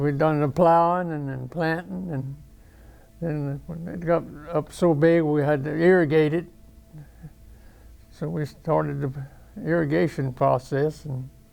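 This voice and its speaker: With a Louisiana accent, the speaker goes at a fairly slow pace with long, frequent pauses and ordinary pitch variation. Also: man, fairly high pitch for a man. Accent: Southern US (Louisiana). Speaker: war veteran. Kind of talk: interview answer. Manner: casual, halting.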